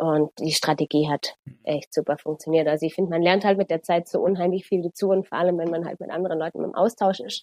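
A woman with an unremarkable speaking voice and a fairly low pitch talks at a fairly quick pace with fairly even intonation. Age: 20s. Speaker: runner and transport planner. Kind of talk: casual interview chat.

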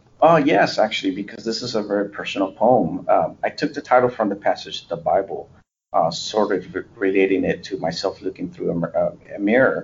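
A man speaks with a Spanish accent. His pace is fairly quick. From US, born in a Spanish-speaking country. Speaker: poet, interviewee. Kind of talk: interview. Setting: remote call from the US.

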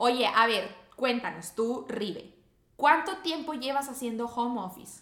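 With a Mexican accent, a woman speaks fairly slowly in a high pitch with lively intonation. Room echo and background noise are both noticeable. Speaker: podcast co-host. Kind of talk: casual chat.

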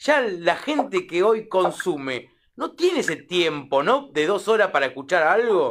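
Very wide pitch swings mark a man's high-pitched voice as he speaks at a fairly slow pace. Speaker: radio host. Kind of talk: radio interview.

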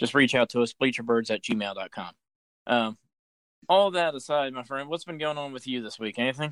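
An unremarkable speaking voice moves at a fairly quick pace with ordinary pitch variation and big swings in loudness, in a very clean recording with a silent background and a dry, close sound with no echo. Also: man, medium pitch for a man. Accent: American. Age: 30s. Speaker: sports podcast host. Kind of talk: casual chat.

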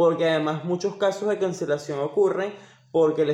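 A man speaks at a moderate pace with a high pitch. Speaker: podcast co-host. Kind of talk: casual chat.

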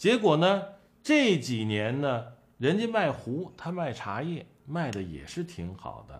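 The voice moves through very wide pitch swings at a very slow pace. Its loudness swings widely too. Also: man, fairly high pitch for a man. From Shandong, Tai'an. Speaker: collectibles commentator. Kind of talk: casual monologue.

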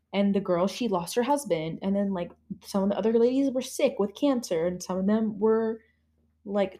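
A woman with a fairly high pitch and a dark, mellow tone speaks somewhat breathily at a moderate pace, with ordinary pitch variation. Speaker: podcast host. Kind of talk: casual chat.

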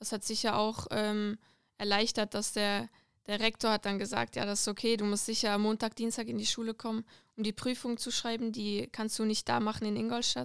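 A woman speaks at a fairly high pitch with monotone, flat intonation. The recording is very clean, with a silent background. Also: moderate pace, dry, close sound with no echo. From Switzerland, Lucerne. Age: 20s. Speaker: footballer. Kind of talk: casual interview. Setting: studio.

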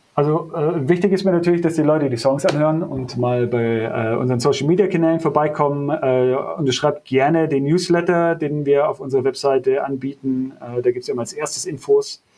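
A man with a fairly high pitch talks at a fairly quick pace with hardly any pauses and ordinary pitch variation, over noticeable background noise. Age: 30s. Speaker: metal bassist. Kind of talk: casual interview.

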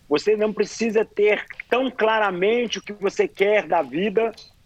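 A high-pitched man speaks at a fairly slow pace, the sound dry and close with no echo, with noticeable background noise present. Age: 40s. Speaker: ultramarathon runner. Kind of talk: interview.

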